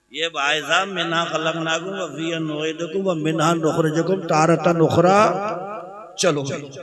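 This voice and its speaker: A man with a high pitch speaks in a flat monotone, with noticeable background noise behind him. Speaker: Islamic preacher giving a sermon. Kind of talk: Islamic sermon (taqreer) delivered to a live audience. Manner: humorous, emotional, preaching.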